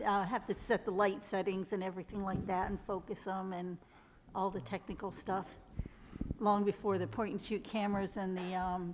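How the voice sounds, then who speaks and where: This woman has an ordinary speaking voice with a medium pitch. She keeps a moderate pace and fairly even intonation. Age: 60s. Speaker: photographer. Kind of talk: interview.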